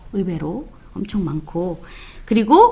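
A woman's somewhat breathy voice moves through very wide pitch swings. Audible room echo surrounds it. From South Korea. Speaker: theology professor. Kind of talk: lecture.

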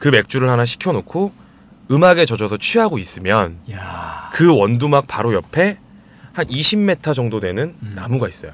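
Speaking at a moderate pace, a man holds a medium pitch. His pitch swings very widely. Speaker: traveler and amateur singer. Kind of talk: casual chat.

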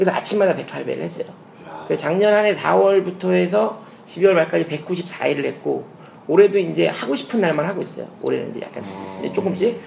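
Noticeable background noise surrounds a man talking at a fairly quick pace. His loudness swings widely. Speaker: comedian. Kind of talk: casual chat, personal testimony. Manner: animated.

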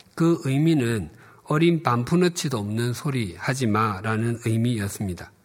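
Audible room echo surrounds this recording. A man speaks with lively intonation. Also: medium pitch for a man, fairly slow pace. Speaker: pastor. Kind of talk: sermon.

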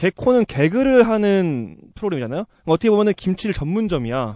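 Speaking at a fairly quick pace, a man with a high, dark, mellow voice swings very widely in pitch, recorded dry and close with no echo. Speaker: podcast host. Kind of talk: casual chat.

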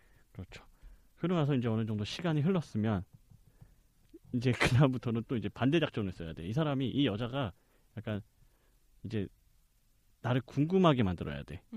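With long, frequent pauses between fairly quick stretches of speech, a man at a medium pitch makes very wide pitch swings and big swings in loudness, recorded with a dry, close sound with no echo. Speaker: podcast guest. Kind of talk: casual chat.

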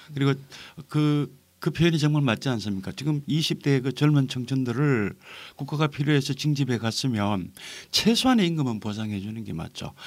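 This man has a plain, everyday voice, fairly high in pitch, with lively intonation at a moderate pace. The recording is very clean with a silent background. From North Gyeongsang, South Korea. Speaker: novelist. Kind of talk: podcast interview.

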